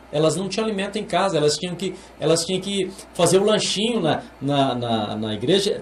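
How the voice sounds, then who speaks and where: At a moderate pace, a man with a high pitch swings very widely in pitch, with audible room echo and noticeable background noise. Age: 60s. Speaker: pastor. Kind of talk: interview. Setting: studio. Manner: halting, with many repeated words.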